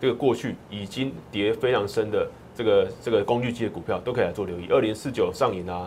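Medium-pitched, somewhat breathy male speech, fairly quick, with ordinary pitch variation. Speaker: stock market analyst. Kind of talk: market analysis in a talk show. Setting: radio studio.

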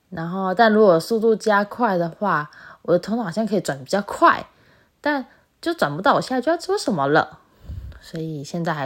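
A woman speaks with very wide pitch swings. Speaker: solo podcast host. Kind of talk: casual monologue. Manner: loud.

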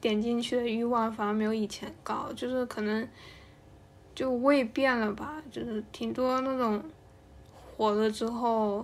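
A woman's high-pitched voice, with fairly even intonation, at a fairly slow pace. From Hainan, China. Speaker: podcast co-host. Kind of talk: casual chat.

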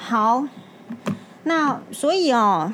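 A woman's voice comes through with noticeable noise in the background. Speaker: doctor podcast host. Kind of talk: casual monologue. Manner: calmer than usual.

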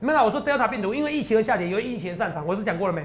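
A man speaks at a high pitch in an animated tone. His intonation is lively. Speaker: stock market analyst. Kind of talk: market commentary show.

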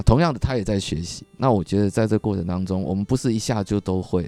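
A man talks at a fairly quick pace with a fairly low pitch and ordinary pitch variation. He has an unremarkable speaking voice, recorded with a dry, close sound and no echo. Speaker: businessman, husband. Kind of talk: casual interview chat.

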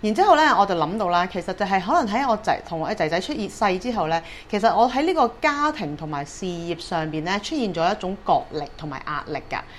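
Very wide pitch swings in a woman's voice of medium pitch. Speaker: dream therapist and hypnotherapist podcast host. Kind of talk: solo podcast talk.

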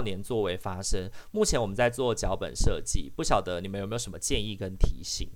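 A man speaks with a Taiwanese accent. His pitch swings very widely. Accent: Taiwanese Mandarin. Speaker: social worker and podcast host. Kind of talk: casual chat. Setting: online live session.

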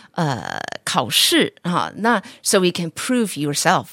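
Her pitch is fairly low for a woman. The sound is dry and close, with no echo. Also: very clean recording, silent background. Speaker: teacher and podcast host. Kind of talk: casual chat.

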